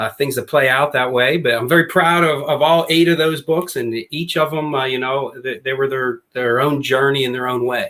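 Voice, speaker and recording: A man's fairly high, bright, sharp voice, with fairly even intonation and hardly any pauses. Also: moderate pace. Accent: slight Pittsburgh. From Western Pennsylvania, near Pittsburgh. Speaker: former basketball coach and author. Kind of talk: podcast interview.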